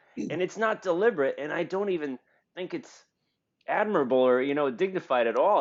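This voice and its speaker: A man talks loudly with a New York accent. His pitch swings very widely. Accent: American, New York. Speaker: podcast host. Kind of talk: casual chat.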